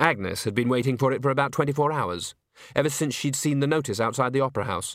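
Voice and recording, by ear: Against a quiet background, a speaker is reading aloud in a natural voice with fairly even intonation.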